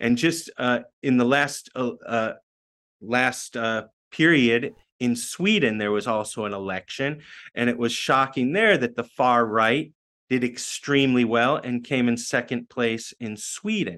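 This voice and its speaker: A man with an American accent talks at a fairly slow pace. His medium-pitched voice has a bright, sharp tone and ordinary pitch variation. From United States. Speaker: activist and educator. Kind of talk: interview. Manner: halting, many fillers.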